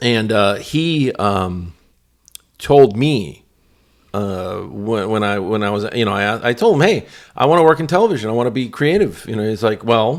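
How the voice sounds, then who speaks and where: In a very clean recording with a silent background, a man with an American accent talks with lively intonation. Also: medium pitch for a man, moderate pace. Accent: Cuban-tinged American. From New York. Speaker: broadcast television veteran. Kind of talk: casual chat. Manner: halting.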